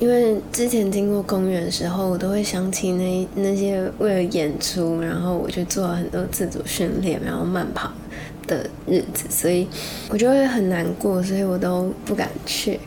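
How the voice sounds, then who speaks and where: Noticeable background noise and audible room echo accompany a woman's voice. She speaks at a medium pitch and a moderate pace. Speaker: podcast host and actress. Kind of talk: spiritual talk.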